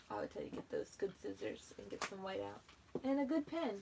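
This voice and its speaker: A woman mumbling over noticeable background noise. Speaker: planner YouTuber. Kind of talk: live stream craft tutorial. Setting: YouTube live video. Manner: casual, chatty. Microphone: no microphone, sound low.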